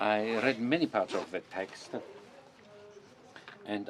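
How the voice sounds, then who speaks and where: Over noticeable background noise, a man with a fairly low pitch speaks fairly slowly with ordinary pitch variation. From northern France (Nord-Pas-de-Calais). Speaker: symposium organizer. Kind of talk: closing summary talk. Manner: halting, many filler sounds.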